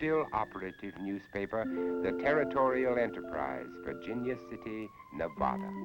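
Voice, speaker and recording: With music in the background, a man speaks at a moderate pace with hardly any pauses and very wide pitch swings. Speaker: actor, TV documentary host. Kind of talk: dramatic documentary narration.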